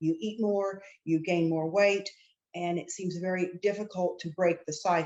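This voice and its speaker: A woman with an unremarkable speaking voice and an American accent, at medium pitch and a fairly slow pace, with fairly even intonation. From Oklahoma, US. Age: 60s. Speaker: attorney, clinical trial patient. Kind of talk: interview.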